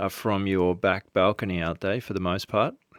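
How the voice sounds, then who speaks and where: Recorded with a dry, close sound with no echo against a quiet background, a man with an Australian accent speaks in a fairly low voice. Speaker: podcast host. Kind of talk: podcast interview.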